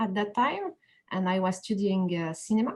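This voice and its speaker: Somewhat breathy, a woman in a French accent speaks at a medium pitch. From France, Paris. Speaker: animator. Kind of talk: interview. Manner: halting.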